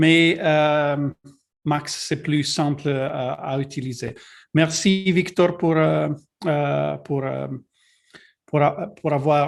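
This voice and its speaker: Speaking with a non-native accent, a man moves at a very slow pace with long, frequent pauses, using a fairly high pitch and fairly even intonation. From Italy. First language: Italian (speaking French). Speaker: technical advisor presenting a webinar. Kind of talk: webinar presentation. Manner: halting, many fillers and repetitions.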